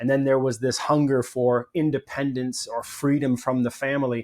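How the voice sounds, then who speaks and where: A man with a Canadian accent, a plain, everyday voice at medium pitch and a moderate pace, on a very clean recording with a silent background. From Canada. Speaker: podcast host. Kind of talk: interview conversation.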